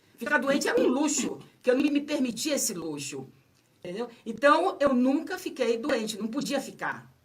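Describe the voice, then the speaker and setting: A woman talks at a moderate pace in a high pitch with lively intonation. Noticeable background noise and audible room echo surround her. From Bahia, Brazil. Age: 70s. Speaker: author. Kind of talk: radio interview.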